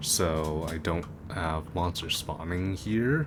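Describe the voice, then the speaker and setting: A man's voice sits very deep and low in pitch. Noticeable background noise runs behind it. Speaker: gaming streamer. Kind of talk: let's play commentary. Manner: halting.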